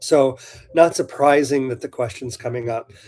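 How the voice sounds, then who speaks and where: A man with an American accent, his dark, mellow voice somewhat breathy and fairly high in pitch, at a fairly slow pace. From US Pacific Northwest. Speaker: shop owner hosting live Q&A. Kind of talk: live stream Q&A, casual chat. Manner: casual with many fillers.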